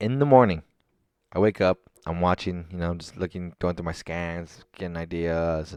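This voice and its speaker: Dry and close with no echo, the recording holds a man's voice. It is very deep and low, with ordinary pitch variation. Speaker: stock trader recapping trades. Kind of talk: screen-share trading recap. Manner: fast; halting, filler-heavy.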